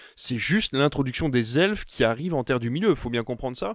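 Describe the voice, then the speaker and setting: The recording is very clean, with a silent background. A man of medium pitch talks at a very fast pace with lively intonation. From Belgium. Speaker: film podcast panelist. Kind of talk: casual chat.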